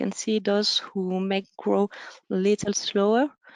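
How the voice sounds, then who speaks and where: A woman with a French accent speaks at medium pitch. Music plays in the background, and the sound is dry and close, with no echo. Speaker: conference speaker. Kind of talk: conference presentation. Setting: webinar. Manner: halting, many fillers.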